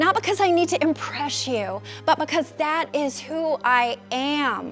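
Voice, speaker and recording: Music plays in the background as a woman speaks at a fairly slow pace. Her pitch swings very widely. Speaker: keynote speaker and executive coach. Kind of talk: motivational keynote talk.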